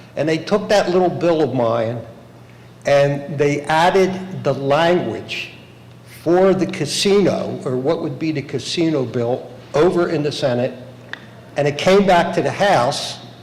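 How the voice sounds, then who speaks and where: With an American accent, a man talks at a fairly slow pace in a fairly high pitch with ordinary pitch variation, amid noticeable background noise and audible room echo. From Bensalem, Pennsylvania (Philadelphia area). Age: 70s. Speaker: local politician. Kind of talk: public hearing testimony. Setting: public hearing room. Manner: halting.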